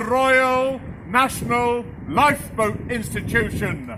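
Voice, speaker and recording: Over noticeable background noise, a man with an extremely high pitch speaks at a very slow pace in a theatrical tone. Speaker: town crier. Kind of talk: town crier proclamation. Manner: loud, theatrical, formal proclamation.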